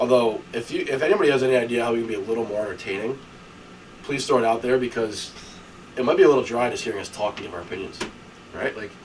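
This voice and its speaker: A man's medium-pitched, very fast speech with long, frequent pauses, ordinary pitch variation and noticeable background noise. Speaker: sports podcast co-host. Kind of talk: casual chat.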